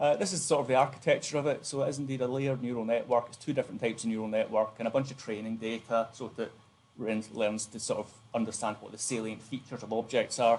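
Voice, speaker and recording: Speaking very fast, a man has a dark, mellow, somewhat breathy voice. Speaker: university lecturer. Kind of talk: lecture.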